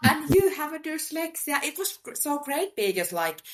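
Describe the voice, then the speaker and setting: On a very clean recording with a silent background, a woman with a Finnish accent speaks at an extremely high pitch. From Finland, Helsinki. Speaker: sales professional. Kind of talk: interview. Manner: halting.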